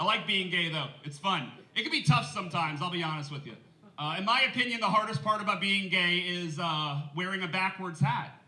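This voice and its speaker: Over noticeable background noise and audible room echo, a man talks at a fairly quick pace in a high pitch, with ordinary pitch variation. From New Orleans, Louisiana. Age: 30s. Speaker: comedian. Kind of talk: stand-up. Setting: stage with audience. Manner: animated.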